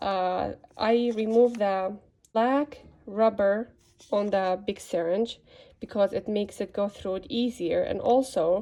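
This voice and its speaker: A woman speaks at a fairly slow pace with a non-native accent and ordinary pitch variation. Her tone is dark and mellow, and the background is quiet. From Middle East. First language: not English. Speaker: rabbit care video maker. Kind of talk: tutorial. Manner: halting, with fillers.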